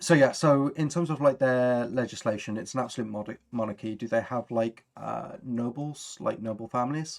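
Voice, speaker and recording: At medium pitch and a moderate pace, a man speaks with ordinary pitch variation in a very clean recording with a silent background. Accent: Birmingham. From Birmingham, England. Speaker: tabletop RPG streamer. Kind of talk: casual chat. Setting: live stream.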